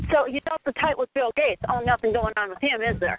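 In an American accent, a woman talks at a very fast pace in a high pitch with ordinary pitch variation. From Minnesota. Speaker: caller. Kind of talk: call-in group discussion. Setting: phone conference call.

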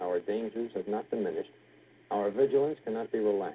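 A man with a normal speaking voice, medium pitch, ordinary pitch variation and a fairly quick pace. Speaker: news reporter. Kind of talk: live 1960s news broadcast. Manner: formal, grave, measured.

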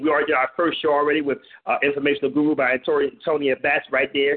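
A man talks in a fairly high pitch. He moves at a fairly quick pace with ordinary pitch variation. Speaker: radio DJ and host. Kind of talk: live internet radio show. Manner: animated.

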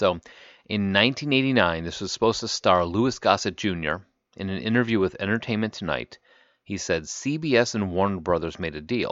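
Speaking at a moderate pace and a fairly low pitch, a man with an unremarkable speaking voice uses lively intonation. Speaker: podcast host. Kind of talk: casual banter podcast chat.

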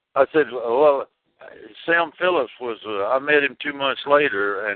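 A medium-pitched man with a Tennessee accent, at a fairly slow pace with ordinary pitch variation. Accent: US Southern (Tennessee). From Jackson, Tennessee. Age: 70s. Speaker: rockabilly singer. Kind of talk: interview. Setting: phone call. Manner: halting.

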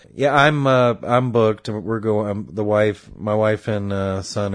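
A man with an American accent and a plain, everyday voice talks at a moderate pace and a fairly low pitch. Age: 30s. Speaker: podcast co-host. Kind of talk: casual chat.

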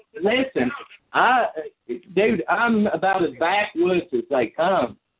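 A man with a Kentucky accent at a moderate pace. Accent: Kentucky Southern US. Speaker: chat line caller. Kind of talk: heated debate. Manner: loud.

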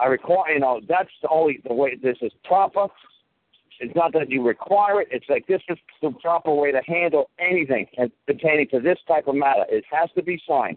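This man has an ordinary speaking voice, pitched fairly high, moving at a fairly quick pace with ordinary pitch variation. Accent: American. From New York. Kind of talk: heated casual advice with profanity.

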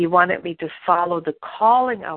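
A woman talks with a German accent. Her pitch sits fairly low. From Germany. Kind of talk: devotional teaching.

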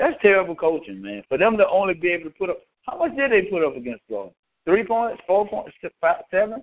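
A man's very fast talking in a Southern US accent. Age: 40s. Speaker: sports talk radio co-panelist. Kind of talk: casual sports debate. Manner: animated.

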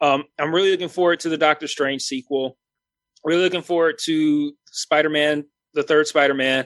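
A man speaks at a moderate pace, fairly high in pitch with fairly even intonation. The sound is dry and close with no echo, and his loudness stays very even. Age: 30s. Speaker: YouTube film and TV reviewer. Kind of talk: casual chat. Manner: halting.

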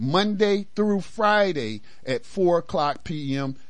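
A man is speaking. His intonation is lively. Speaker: radio host. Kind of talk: call-in talk radio, fervent commentary on race and politics. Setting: radio studio with phone lines. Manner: animated, emphatic, repeats phrases for emphasis.

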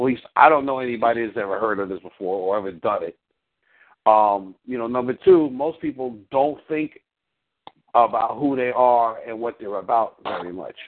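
This man has a normal speaking voice, medium in pitch, with ordinary pitch variation and a moderate pace. His loudness swings widely. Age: 50s. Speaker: relationship coach. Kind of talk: coaching call.

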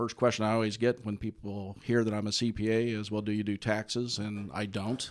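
A man with an American accent talks at a moderate pace in a fairly low pitch, his intonation monotone and flat. The background is quiet. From US Midwest, Indiana. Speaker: accountant and business podcast host. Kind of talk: radio interview. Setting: studio. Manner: hesitant with many fillers.

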